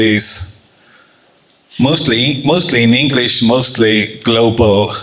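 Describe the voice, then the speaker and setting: With noticeable background noise and audible room echo, a man talks very slowly in an Estonian accent. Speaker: journalist and startup communications professional. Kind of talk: panel discussion. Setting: office event with audience. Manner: halting.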